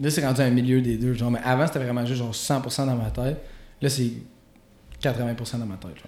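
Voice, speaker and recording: Over noticeable background noise and audible room echo, a man talks at a fairly quick pace. His pitch is medium and his intonation fairly even. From Quebec, Gatineau. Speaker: rapper. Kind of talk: casual chat.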